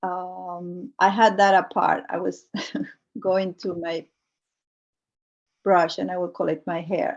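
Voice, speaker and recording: Against a quiet background, a woman with a Spanish accent talks at a very slow pace and medium pitch, her intonation fairly even and her pauses long and frequent. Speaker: multidisciplinary artist. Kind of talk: artist talk presenting work. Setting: video call. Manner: halting, many fillers.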